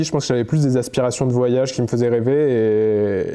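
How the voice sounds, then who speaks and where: With music in the background, a man speaks at a medium pitch with ordinary pitch variation. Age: 20s. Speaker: photographer and content creator. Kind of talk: interview testimony. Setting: at his home. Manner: hesitant, many fillers and repetitions.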